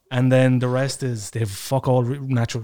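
A man speaks with an Irish accent. His pitch is medium and his intonation is monotone and flat. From Ireland. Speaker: comedian. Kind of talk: casual chat. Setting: studio.

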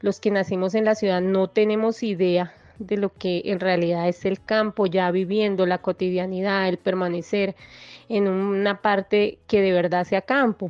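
A woman with a Bogotá accent speaks at a medium pitch and a fairly slow pace. Her intonation is monotone and flat, and her loudness stays very even. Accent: Bogotá Colombian Spanish. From Colombia, Bogotá. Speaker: guest sharing life story. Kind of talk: testimony. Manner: halting.

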